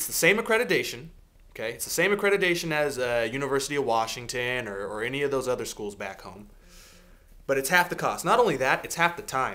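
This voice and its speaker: Speech comes very fast with a Seattle accent and a bright, sharp tone. Pitch swings very widely and loudness shifts a lot. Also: man, fairly high pitch for a man. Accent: American, Seattle. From US Pacific Northwest, Seattle. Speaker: video blogger, IT worker. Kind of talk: advice vlog. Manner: earnest, emphatic.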